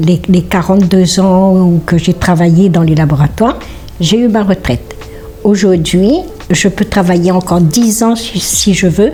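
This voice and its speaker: A woman at a fairly slow pace, medium in pitch, with ordinary pitch variation and very even loudness, music playing in the background. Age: 60s. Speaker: lab blood-sampling technician. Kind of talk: interview testimony. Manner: hesitant with fillers.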